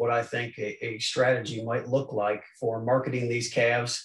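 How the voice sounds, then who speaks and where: Somewhat breathy, a man speaks with audible room echo. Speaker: presenter. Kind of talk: lecture. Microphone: video call.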